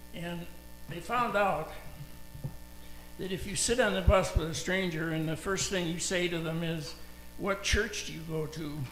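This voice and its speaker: Over noticeable background noise and audible room echo, a man speaks at a moderate pace with long, frequent pauses. His voice is high-pitched and his intonation fairly even. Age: 80s+. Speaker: pastor. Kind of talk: sermon.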